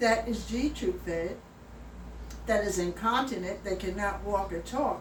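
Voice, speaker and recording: Speaking at a fairly slow pace, a woman is heard with audible room echo and noticeable background noise. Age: 70s. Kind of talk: personal appeal video. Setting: at home. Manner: emphatic.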